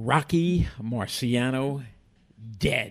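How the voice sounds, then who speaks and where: Somewhat breathy, a man talks in a medium pitch. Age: 70s. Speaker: boxing commissioner and radio host. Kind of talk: casual chat.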